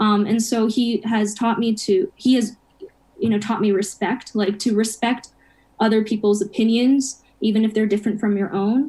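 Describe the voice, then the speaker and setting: A woman's fairly high, somewhat breathy voice has a dark, mellow tone, fairly even intonation and very even loudness. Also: moderate pace. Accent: American. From Japan and US upbringing. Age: 20s. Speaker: college student. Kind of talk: interview chat.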